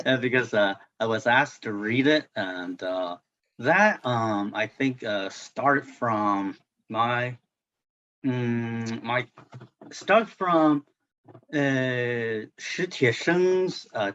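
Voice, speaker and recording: A man with a non-native accent, medium pitch, lively intonation and a very slow pace. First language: Chinese. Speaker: translator. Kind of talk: book club discussion. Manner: halting, many fillers and repetitions.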